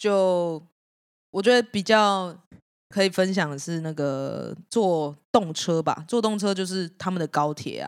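Very slow, fairly low-pitched speech from a woman, with ordinary pitch variation and long, frequent pauses, on a very clean recording with a silent background. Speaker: band guitarist. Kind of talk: casual chat.

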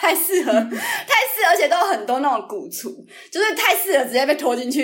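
A woman's voice with very wide pitch swings. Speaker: YouTuber. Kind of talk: casual chat. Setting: remote recording.

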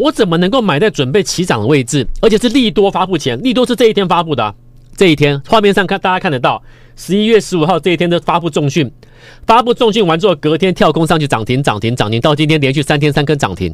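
A man talks very fast at a high pitch. His animated tone swings very widely in pitch. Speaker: stock market radio host and investment advisor. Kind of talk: radio stock-market commentary. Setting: radio studio, simultaneously video-recorded.

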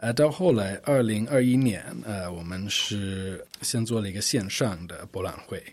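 A man's fairly low voice with a non-native accent and ordinary pitch variation. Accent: fluent Mandarin, non-native. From United States. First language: English (speaking Chinese). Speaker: art fair director. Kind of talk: interview. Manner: frequent hesitations (呃).

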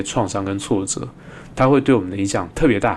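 A man speaks with a Taiwanese accent in a fairly low voice. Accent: Taiwanese Mandarin. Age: 30s. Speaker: podcast host, psychologist. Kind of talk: casual solo monologue on psychology.

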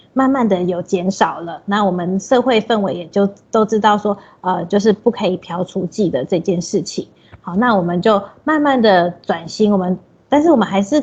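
This woman has a somewhat breathy, medium-pitched voice with lively intonation. Her pace is moderate. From Taiwan, Taipei. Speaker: social worker. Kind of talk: interview.

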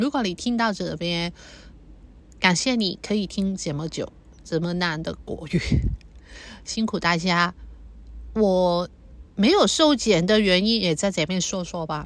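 Against a silent background on a very clean recording, a woman speaks at a very slow pace with a medium pitch. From Hong Kong. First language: Cantonese (speaking Chinese). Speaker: podcaster. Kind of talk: personal monologue. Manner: halting.

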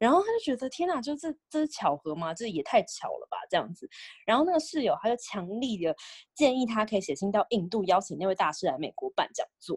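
Fairly quick and fairly high in pitch, a woman speaks with vocal fry and very wide pitch swings, the sound dry and close with no echo. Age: 20s. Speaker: podcast co-host. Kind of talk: casual chat.

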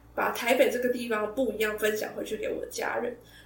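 Very fast speech comes through with audible room echo and noticeable background noise. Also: woman. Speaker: podcast host. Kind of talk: casual monologue.

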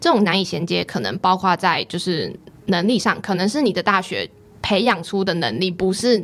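A woman's plain, everyday voice at medium pitch, with ordinary pitch variation and a fairly quick pace. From Taiwan, Pingtung. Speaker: graduate student. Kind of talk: interview.

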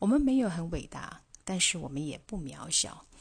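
The voice is somewhat breathy with lively intonation. It moves at a moderate pace. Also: woman. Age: 50s. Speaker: podcast host. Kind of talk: solo podcast monologue. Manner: halting, many fillers.

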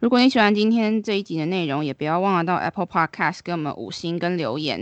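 A woman with an ordinary speaking voice talks at a fairly quick pace and a fairly low pitch, with ordinary pitch variation. The background is quiet. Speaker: podcast co-host. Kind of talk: casual chat.

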